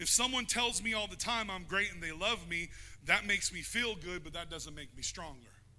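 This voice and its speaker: A man talks in a high pitch at a fairly quick pace, his tone animated, bright and sharp. His pitch varies in an ordinary way, his loudness swings a lot, and room echo is audible. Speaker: pastor. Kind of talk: sermon. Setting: church.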